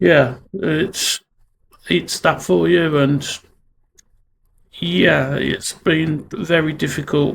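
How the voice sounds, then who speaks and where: A very slow delivery with a Brummie accent. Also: man. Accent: Brummie (Birmingham). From Birmingham, England. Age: 40s. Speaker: vlogger on mental health. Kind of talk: personal vlog monologue. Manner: halting, many fillers.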